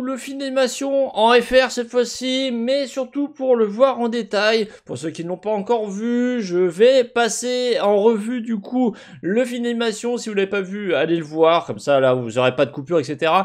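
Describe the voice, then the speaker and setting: A man talks at a moderate pace with hardly any pauses. The background is quiet. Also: lively intonation. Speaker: gaming video commentator. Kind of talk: commentary.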